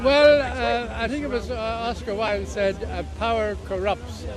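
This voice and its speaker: Music plays in the background. The speaker has an Irish accent and a moderate pace. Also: man. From Ireland. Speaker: protester, demonstration organiser. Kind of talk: street interview. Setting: outdoors at a protest. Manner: halting.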